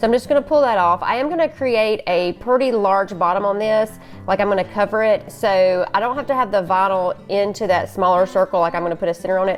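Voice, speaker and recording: Over music in the background, a woman talks at a very fast pace in a Southern US accent, her pitch medium and her pitch variation ordinary. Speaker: crafter, tumbler maker. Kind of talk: tutorial. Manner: casual, chatty.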